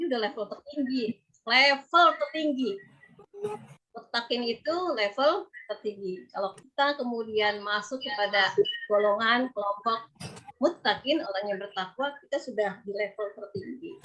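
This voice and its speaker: A woman at a fairly high pitch with lively intonation and a moderate pace, music in the background. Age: 50s. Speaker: religious preacher. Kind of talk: religious lecture. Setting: video call. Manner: conversational.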